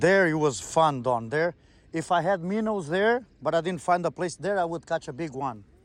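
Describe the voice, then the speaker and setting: A high-pitched man with a Quebec accent, lively intonation and a moderate pace. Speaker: fishing vlogger. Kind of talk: casual vlog chat. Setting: outdoors by the water.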